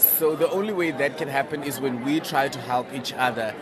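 A man's voice with ordinary pitch variation, noticeable background noise, and audible room echo. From Namibia. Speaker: pageant contestant and LGBTI activist. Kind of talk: interview. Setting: hotel event launch.

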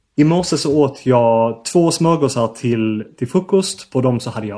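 The voice has a dark, mellow tone and a Swedish accent. It moves at a very slow pace with lively intonation. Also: man. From southern Sweden. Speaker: linguistics researcher. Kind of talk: interview.

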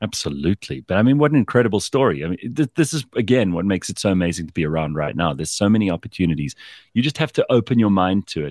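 The man talks at a very fast pace, his pitch swinging very widely. The sound is dry and close, with no echo. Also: very clean recording, silent background. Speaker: podcast host. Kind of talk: interview.

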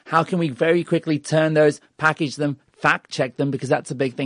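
A man with a fairly high pitch speaks at a very fast pace with fairly even intonation. The sound is dry and close with no echo, over a quiet background. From Australia. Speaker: mobile journalist. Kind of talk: interview.

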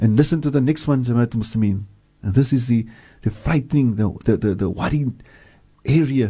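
With a dark, mellow tone and a somewhat breathy quality, the speaker goes at a fairly quick pace, using ordinary pitch variation and long, frequent pauses. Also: man, medium pitch for a man. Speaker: Islamic scholar. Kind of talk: religious talk with prayers and Arabic quotations. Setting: radio studio. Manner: fervent, earnest, preacherly; repeats phrases for emphasis, exhorting.

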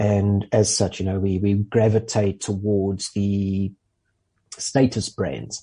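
At a very slow pace, a man with a fairly low pitch talks in a dark, mellow, somewhat breathy voice with monotone, flat intonation. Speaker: motoring journalist. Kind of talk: casual chat.

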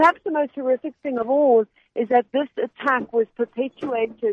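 Her voice a plain, everyday voice, a woman speaks at a fairly high pitch with ordinary pitch variation. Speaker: journalist correspondent. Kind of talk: interview. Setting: phone call from abroad.

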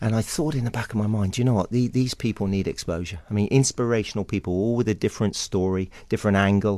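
Against a quiet background, a man with an English accent rattles along at a very fast pace with hardly any pauses, his fairly low pitch varying in an ordinary way. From England, Somerset (West Country). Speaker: historian and author. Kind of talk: radio interview. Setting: radio studio. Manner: animated.

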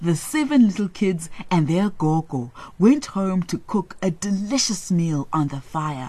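This person reads with lively intonation in an unforced reading voice.

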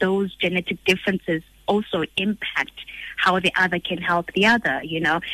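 A woman's medium-pitched, monotone, flat delivery at a moderate pace. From South Africa, Soweto. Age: 30s. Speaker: stem cell researcher. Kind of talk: interview. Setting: studio.

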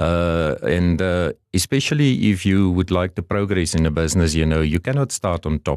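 Very deep and low, a man's voice moves at a moderate pace with hardly any pauses. Its loudness is very even, its pitch variation ordinary, and the sound dry and close with no echo. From Namibia (south). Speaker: car dealership executive. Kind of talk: interview.

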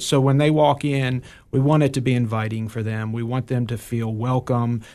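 Over a quiet background, a man with an American accent uses an ordinary speaking voice at a moderate pace with ordinary pitch variation. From Ohio and New York. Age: 40s. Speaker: nonprofit executive director. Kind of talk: interview. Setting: studio.

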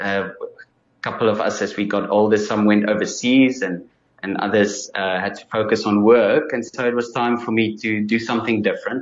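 A man with a South African accent, fairly low pitch, moderate pace and fairly even intonation. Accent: Afrikaans South African English. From South Africa, Free State (Bloemfontein). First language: Afrikaans. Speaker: musician and audiologist. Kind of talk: interview.

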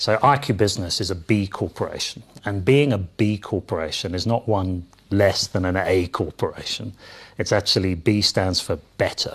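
Against a quiet background, a man talks at a moderate pace, his fairly low voice somewhat breathy and showing ordinary pitch variation. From London, England. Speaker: company CEO. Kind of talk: interview. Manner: hesitant, many fillers.

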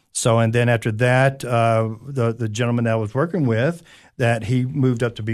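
A man speaks with an East Tennessee accent at medium pitch and a moderate pace. His intonation is fairly even, against a quiet background. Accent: Southern US (East Tennessee). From East Tennessee, Anderson County. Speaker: career coach. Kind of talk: radio interview. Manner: hesitant, many fillers.

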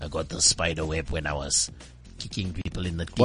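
A man uses a put-on character voice with a very deep, low pitch. He talks at a fairly quick pace over clear music in the background. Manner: menacing, gruff.

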